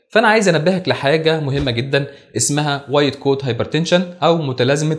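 A somewhat breathy male voice at a moderate pace, against a quiet background. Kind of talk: lecture. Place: studio. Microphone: lapel.

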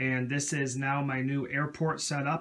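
A man talks with monotone, flat intonation. His pace is moderate and the background quiet. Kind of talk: casual show-and-tell narration. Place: home room. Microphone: phone near.

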